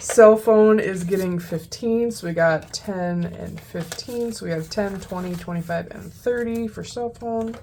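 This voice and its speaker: A woman with an American accent and a medium pitch talks at a fairly slow pace with hardly any pauses, ordinary pitch variation and big swings in loudness. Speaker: budgeting youtuber. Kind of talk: casual chat.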